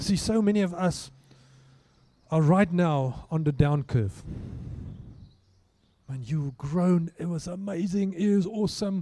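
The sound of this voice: At a slow pace with long, frequent pauses, the voice has a dark, mellow tone and ordinary pitch variation. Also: man, high pitch for a man.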